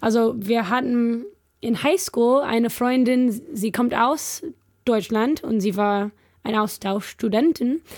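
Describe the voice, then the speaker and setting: A woman's fairly high voice in an English accent, very slow, with very even loudness and ordinary pitch variation. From California, US. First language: English (speaking German). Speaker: missionary. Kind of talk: casual chat. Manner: halting.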